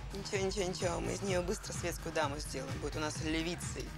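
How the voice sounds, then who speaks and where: Over clear music in the background, the speech comes at a very fast pace with a dry sound and no echo. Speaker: actress playing a friend's mother. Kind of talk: scripted drama dialogue. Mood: teasing, playful. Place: cafe.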